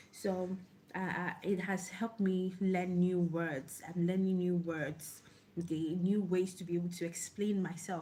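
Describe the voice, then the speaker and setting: The voice is somewhat breathy with a dark, mellow tone, monotone, flat intonation and a moderate pace. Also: woman. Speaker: online book club host. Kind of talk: casual talk to camera. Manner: halting.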